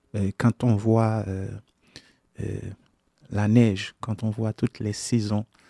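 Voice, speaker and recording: With a Haitian accent, a man speaks very slowly in a fairly low pitch, his dark, mellow tone flat and monotone, broken by long, frequent pauses, the sound dry and close with no echo. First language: Haitian Creole (speaking French). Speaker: gospel songwriter and singer. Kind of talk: radio interview. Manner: halting, many hesitations.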